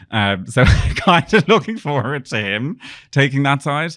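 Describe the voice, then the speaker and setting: A man speaks with an Irish accent. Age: 30s. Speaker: PR business owner. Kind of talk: casual interview chat.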